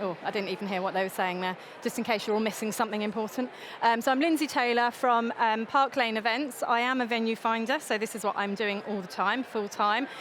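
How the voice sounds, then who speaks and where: Over noticeable background noise, a woman with an English accent talks fairly quickly at a fairly high pitch. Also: ordinary pitch variation. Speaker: venue finder, seminar speaker. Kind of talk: seminar talk. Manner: fast; hesitant with many fillers.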